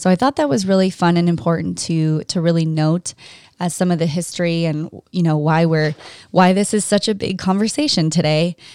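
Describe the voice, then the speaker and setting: This woman speaks at a fairly quick pace with a fairly low pitch, ordinary pitch variation and very even loudness. The recording is very clean, with a silent background. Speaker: podcast host. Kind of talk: solo podcast monologue. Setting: studio.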